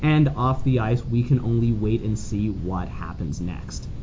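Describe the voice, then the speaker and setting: The speaker has a Canadian accent, with noticeable background noise behind the voice. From Calgary, Canada. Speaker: sports podcast host. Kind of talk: casual sports chat.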